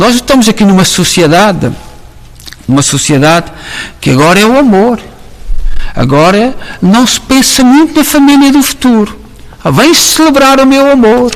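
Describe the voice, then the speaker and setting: Speaking at a fairly slow pace with a European Portuguese accent, a man with a high pitch is heard through noticeable background noise and audible room echo. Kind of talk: sermon. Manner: halting, with many fillers.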